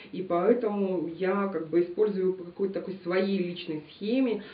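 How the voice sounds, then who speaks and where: A woman's voice with ordinary pitch variation and audible room echo. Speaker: beauty blogger. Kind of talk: product review vlog. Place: home room.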